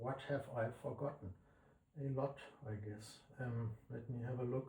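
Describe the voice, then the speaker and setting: Somewhat breathy and dark, mellow in tone, a man speaks at a medium pitch and a fairly slow pace with fairly even intonation. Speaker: plugin developer. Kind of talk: tutorial. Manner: halting.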